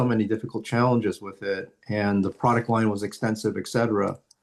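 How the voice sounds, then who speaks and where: An ordinary speaking voice from a man, fairly low in pitch, at a moderate pace with fairly even intonation, against a quiet background. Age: 60s. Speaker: entrepreneur and martial artist. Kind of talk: interview.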